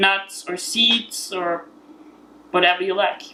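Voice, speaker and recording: A woman with an Austrian accent, medium pitch, ordinary pitch variation and a very slow pace. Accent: Austrian, still noticeable. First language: German. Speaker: vegan cookbook author. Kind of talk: cooking tutorial. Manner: halting, many fillers.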